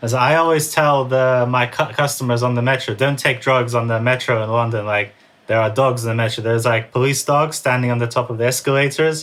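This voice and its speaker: Speaking at a fairly quick pace with hardly any pauses, a man uses fairly even intonation at a medium pitch. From born in Russia, raised in US and England. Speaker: writer and former drug dealer. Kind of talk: interview. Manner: casual, filler-heavy.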